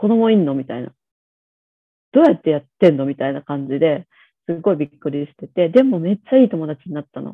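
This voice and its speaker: Speaking at a fairly quick pace with long, frequent pauses, a woman with a fairly low pitch makes very wide pitch swings and big swings in loudness. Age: 40s. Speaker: pediatrician. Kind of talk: casual chat. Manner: casual, hesitant with fillers.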